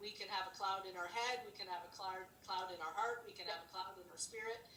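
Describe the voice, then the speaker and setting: Fairly quick speech from a woman in a room with audible echo. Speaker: ministry leader. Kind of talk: casual devotional chat. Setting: video call.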